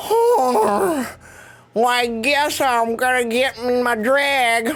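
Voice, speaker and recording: In a put-on character voice, a female-sounding speaker talks very slowly at a high pitch. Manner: unenthused, deadpan.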